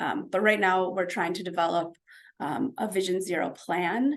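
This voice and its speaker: With lively intonation, a woman speaks at a fairly low pitch. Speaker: city traffic safety planner presenting to a community group. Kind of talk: presentation at a community meeting. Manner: fast; many filler words (um).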